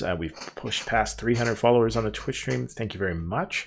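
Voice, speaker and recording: In a Canadian accent, a man with a fairly low pitch uses an ordinary speaking voice with lively intonation on a very clean recording with a silent background. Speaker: podcast host. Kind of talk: live-streamed podcast outro. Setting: live Twitch stream.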